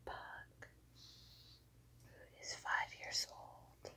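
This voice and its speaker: A woman whispers at a very slow pace. Her speech has long, frequent pauses. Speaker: ASMR creator. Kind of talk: casual talk to camera. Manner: whispered. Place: home room. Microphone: lapel.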